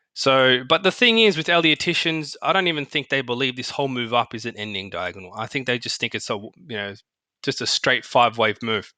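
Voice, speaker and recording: A man speaks at medium pitch with an Australian accent, his bright, sharp tone and lively intonation moving at a fairly quick pace in a dry, close sound with no echo. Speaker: market analyst. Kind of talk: tutorial. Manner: casual, halting with fillers.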